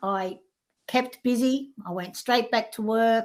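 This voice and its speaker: Here a woman speaks with an Australian accent and ordinary pitch variation. The recording is very clean, with a silent background. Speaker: life coach. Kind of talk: interview.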